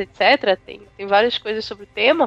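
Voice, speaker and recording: A woman speaks at a moderate pace with music in the background, and the sound is dry and close with no echo. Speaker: podcast panelist, university student. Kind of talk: casual chat.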